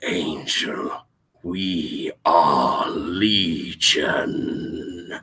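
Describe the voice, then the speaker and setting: A man puts on a raspy character voice pitched fairly low. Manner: somber, echoing.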